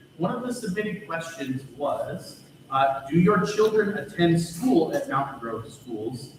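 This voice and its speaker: Loud and fairly slow, a man speaks in a high voice with very wide pitch swings. The room echo is audible. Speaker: forum moderator. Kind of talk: moderating a public forum.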